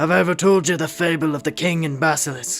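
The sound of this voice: Over clear music in the background, a man puts on a gruff character voice at a fairly high pitch and a very fast pace.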